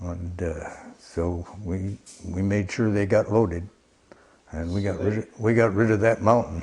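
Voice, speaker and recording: A man at fairly low pitch and a fairly slow pace with fairly even intonation, amid noticeable background noise. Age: 80s+. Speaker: recycling volunteer. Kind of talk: interview answer. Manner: hesitant.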